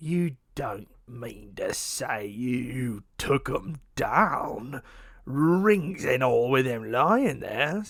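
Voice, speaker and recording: A man's raspy, put-on character voice at medium pitch, with lively intonation and a very slow pace. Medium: read story. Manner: cackling, wheedling.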